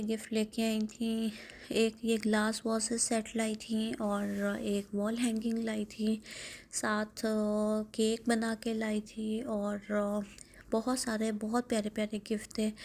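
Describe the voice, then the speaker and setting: A woman with a fairly high pitch speaks at a very slow pace, somewhat breathy and in monotone, flat intonation. The recording is very clean, with a silent background. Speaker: vlogger. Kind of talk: vlog voiceover narration.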